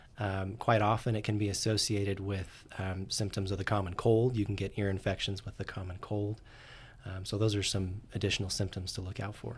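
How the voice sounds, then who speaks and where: With an American accent, a man speaks in a fairly low, somewhat breathy voice. His intonation is monotone and flat, at a moderate pace. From Utah. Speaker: ear, nose and throat doctor. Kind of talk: interview. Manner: halting, many fillers.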